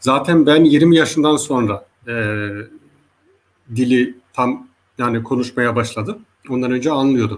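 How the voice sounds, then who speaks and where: The speech moves at a fairly slow pace with ordinary pitch variation and long, frequent pauses. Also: man, medium pitch for a man. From Germany, Hesse/Frankfurt area, Turkish-Zaza family. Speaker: linguist. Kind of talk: interview. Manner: halting, many filler sounds.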